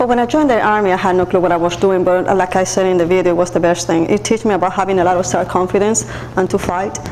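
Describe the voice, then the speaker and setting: The speaker talks very fast with a non-native accent, keeping loudness very even and pitch variation ordinary. Background noise is noticeable. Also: woman, medium pitch for a woman. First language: Spanish. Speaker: nurse and army veteran. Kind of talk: interview.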